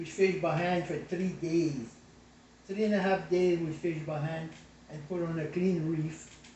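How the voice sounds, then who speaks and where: This man's voice sits high in pitch and keeps a fairly even intonation. He talks at a moderate pace. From South Louisiana Cajun. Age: 80s+. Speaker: craftsman, former oyster fisherman. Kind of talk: interview answer.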